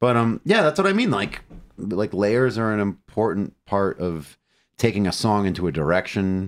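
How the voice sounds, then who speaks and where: A normal speaking voice, with ordinary pitch variation and a moderate pace, is heard on a very clean recording against a silent background. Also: man, fairly low pitch for a man. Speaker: metal musician and songwriter. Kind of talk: casual interview. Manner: blunt, profane.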